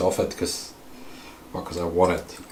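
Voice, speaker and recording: A man speaks with a Swedish accent over noticeable background noise. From Sweden. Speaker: RC hobby streamer. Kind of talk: casual livestream tutorial while repairing. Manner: halting, with fillers.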